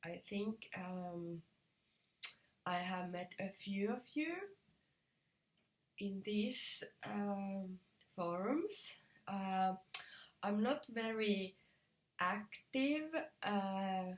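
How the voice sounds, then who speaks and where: A woman's medium-pitched voice with a Finnish accent, ordinary pitch variation, a very slow pace and long, frequent pauses. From Finland. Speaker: knitting video podcaster. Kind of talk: casual vlog talk. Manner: halting, many fillers.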